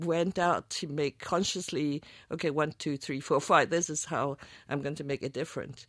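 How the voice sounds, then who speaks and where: A woman at a moderate pace, on a very clean recording with a silent background. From Chinese-Canadian background. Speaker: film editor. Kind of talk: interview. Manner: halting.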